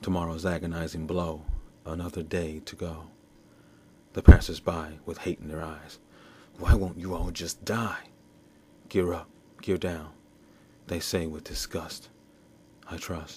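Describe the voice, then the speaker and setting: A man with a very deep, low voice talks in a flat monotone that is somewhat breathy, pausing long and often. His loudness swings widely. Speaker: poet. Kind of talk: poetry reading.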